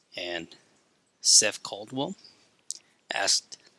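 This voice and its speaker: A man speaks quietly. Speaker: drawing youtuber. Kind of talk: casual tutorial commentary. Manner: holding voice back, quiet.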